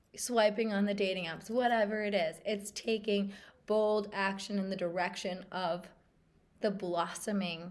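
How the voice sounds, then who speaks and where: A woman's medium-pitched voice with monotone, flat intonation and a fairly slow pace, in audible room echo. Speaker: spiritual coach and meditation guide. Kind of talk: casual talk to camera. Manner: casual, with fillers and repeated words.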